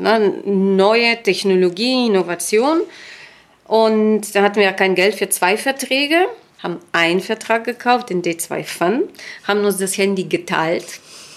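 With an unremarkable speaking voice, a woman talks fairly slowly at a medium pitch with ordinary pitch variation. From Bulgaria, Sofia. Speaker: finance executive. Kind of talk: interview.

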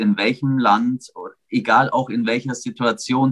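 At a moderate speed and medium pitch, a man talks in an unremarkable speaking voice, his pitch varying in an ordinary way. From Augsburg, Bavaria, Germany. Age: 40s. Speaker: sports commentator. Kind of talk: casual chat.

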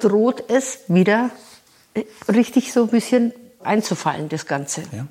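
The woman's intonation is lively. She talks fairly slowly. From rural Bavaria, Germany. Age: 60s. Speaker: harpist and music professor. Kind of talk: interview. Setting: at her home.

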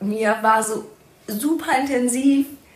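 A high-pitched woman with ordinary pitch variation, in audible room echo. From Germany, rural. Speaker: podcast host, social worker. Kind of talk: casual conversation.

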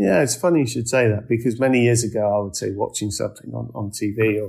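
With an English accent, a man speaks at a very fast pace and a medium pitch. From England. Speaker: real estate managing director. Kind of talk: interview. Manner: hesitant, many fillers and repetitions.

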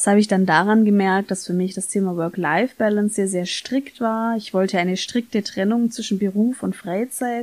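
In a plain, everyday voice, the speaker keeps a moderate pace with hardly any pauses and fairly even intonation. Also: woman, medium pitch for a woman. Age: 30s. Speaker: podcast host, former social worker. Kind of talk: solo podcast monologue.

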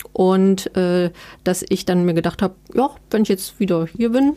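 On a very clean recording with a silent background, a woman talks at a fairly slow pace in a medium pitch with ordinary pitch variation and a dark, mellow tone. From eastern Germany (Erfurt, Thuringia). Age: 30s. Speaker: book editor and journalist. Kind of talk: interview conversation.

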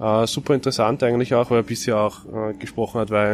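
A man talks very fast at a fairly low pitch with fairly even intonation. Noticeable background noise is audible. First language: German. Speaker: podcast co-host. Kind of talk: casual chat. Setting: sitting on airport floor.

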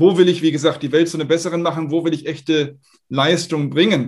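A man with a plain, everyday voice, fairly high in pitch with ordinary variation, over a quiet background. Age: 40s. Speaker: startup founder and investor. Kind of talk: interview. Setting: video call.

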